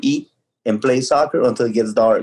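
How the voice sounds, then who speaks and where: A man's medium-pitched voice with a Spanish accent and a dark, mellow tone. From Ecuador. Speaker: youth soccer coach. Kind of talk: casual interview.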